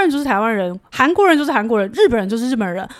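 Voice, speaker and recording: Her pace is very fast. This woman's voice sits at a fairly high pitch. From Taiwan. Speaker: travel guest. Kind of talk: casual chat.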